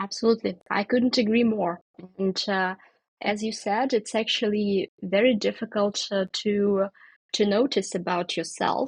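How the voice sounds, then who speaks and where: A somewhat breathy woman's voice at medium pitch, fairly slow and fairly even in intonation, with a dry, close sound with no echo and a quiet background. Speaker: podcast host. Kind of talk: interview conversation. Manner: hesitant, many filler words.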